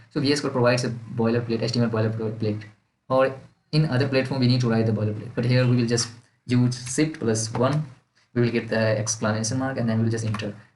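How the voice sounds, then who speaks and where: A man talks at a very fast pace in a medium pitch, somewhat breathy. His intonation is monotone and flat, with audible room echo. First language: not English. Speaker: student making coding tutorials. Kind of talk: tutorial. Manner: halting.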